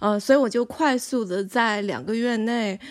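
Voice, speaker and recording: A woman with a normal speaking voice talks at a fairly slow pace with ordinary pitch variation. The recording is very clean, with a silent background. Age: 30s. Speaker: filmmaker and university staff. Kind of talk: interview conversation.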